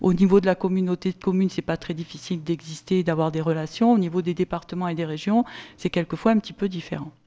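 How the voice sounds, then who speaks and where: Using a plain, everyday voice, a woman speaks at medium pitch with fairly even intonation. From southern France, Sommières (Gard). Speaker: local official. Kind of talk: conference talk.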